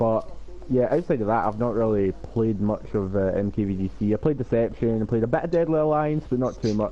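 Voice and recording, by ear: A man with a Scottish accent talks fairly quickly in a dark, mellow tone. His pitch is fairly low, and his intonation fairly even.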